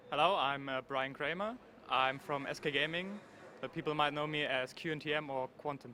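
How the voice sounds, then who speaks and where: A man speaks with a German accent at a moderate pace. His pitch is fairly high, with ordinary variation. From Germany. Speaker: pro gamer. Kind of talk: event interview. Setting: gaming convention floor.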